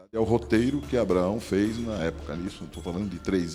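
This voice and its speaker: A man's very deep, low voice with lively intonation, with music in the background. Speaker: TV news reporter. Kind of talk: TV interview answer.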